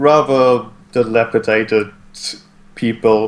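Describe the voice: This is plain reading aloud. The clip holds only that.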